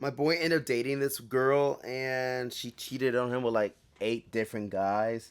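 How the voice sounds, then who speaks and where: A man's medium-pitched voice at a fairly slow pace, on a very clean recording with a silent background. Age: 20s. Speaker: soldier and podcast host. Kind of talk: casual storytelling podcast. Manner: halting, self-interrupting.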